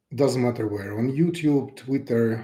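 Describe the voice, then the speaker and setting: Somewhat breathy and dark, mellow in tone, a man speaks with a Russian accent and ordinary pitch variation. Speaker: pianist and YouTuber. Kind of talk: unscripted live broadcast message. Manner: unprepared, somewhat halting.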